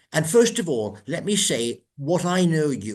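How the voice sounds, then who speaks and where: With an English accent, a man at a fairly high pitch moves through very wide pitch swings. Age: old. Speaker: podcast host. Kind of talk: interview. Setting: recorded podcast. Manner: hesitant.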